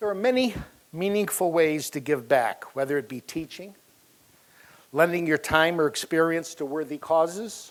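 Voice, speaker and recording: A man with a normal speaking voice talks at a fairly high pitch with lively intonation. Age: 60s. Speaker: software company founder. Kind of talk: speech. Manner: formal.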